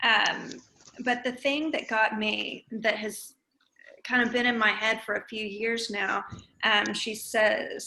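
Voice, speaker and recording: The woman's fairly high voice stays in a flat monotone. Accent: Southern US. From East Texas. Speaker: discussion group participant. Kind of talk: group discussion. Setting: video call.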